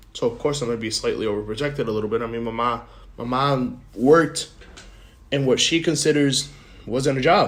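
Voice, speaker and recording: Here a man speaks at a fairly high pitch. His pace is moderate and his pitch variation ordinary. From Puerto Rico, then New Jersey from age eight. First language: Spanish. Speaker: podcast host. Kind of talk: casual monologue, life story. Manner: unscripted, halting with repetitions.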